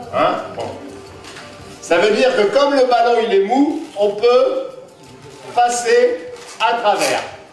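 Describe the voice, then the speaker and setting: Faint music plays behind a man speaking at a very slow pace in a fairly high voice. The room echo is audible. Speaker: clown and magician. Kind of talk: live children's magic show patter. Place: hall. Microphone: camera far.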